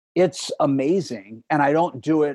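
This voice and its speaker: Speaking at a fairly slow pace, a man has a normal speaking voice with ordinary pitch variation and a dry, close sound with no echo. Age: 40s. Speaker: podcast guest sharing recovery story. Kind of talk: personal testimony in interview.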